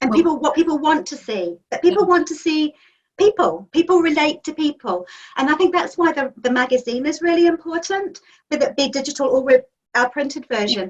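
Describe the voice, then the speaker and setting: With a New Zealand accent, a high-pitched woman speaks very fast with lively intonation. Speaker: magazine editor and publisher. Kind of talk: interview answer.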